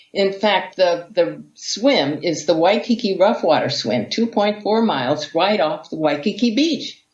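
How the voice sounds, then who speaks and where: A woman at a fairly slow pace with hardly any pauses and lively intonation, a plain, everyday voice. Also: medium pitch for a woman. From US, Hawaii. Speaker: vegan athlete and author. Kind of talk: interview storytelling.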